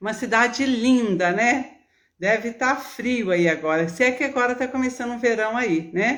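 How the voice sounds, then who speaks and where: A woman with a Minas Gerais accent speaks at a fairly slow pace in a high voice with lively intonation. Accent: mineiro. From Minas Gerais, Brazil. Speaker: nutritionist and gerontologist. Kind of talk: live stream talk to viewers. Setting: live video stream. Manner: warm, chatty.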